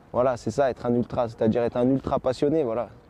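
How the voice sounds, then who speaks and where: Noticeable background noise runs under this recording. A man speaks at a medium pitch with fairly even intonation. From Paris, France. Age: 20s. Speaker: football ultra supporter. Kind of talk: interview.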